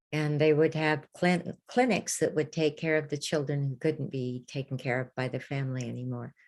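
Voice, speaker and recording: With an American accent, a woman with a very deep, low pitch talks in a fairly even intonation against a quiet background. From Anaheim, California. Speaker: former Disneyland ambassador and tour guide. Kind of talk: interview answer.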